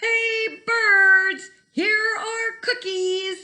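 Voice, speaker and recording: A woman shouts loudly in a squeaky, put-on character voice. Her pitch is extremely high. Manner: loud shouting.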